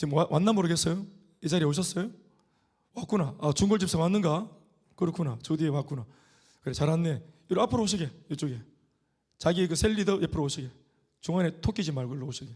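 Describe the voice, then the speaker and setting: Speaking at a very fast pace yet with long, frequent pauses, a man with a Gyeongsang accent uses a high pitch and ordinary pitch variation. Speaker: pastor. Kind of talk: sermon. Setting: church.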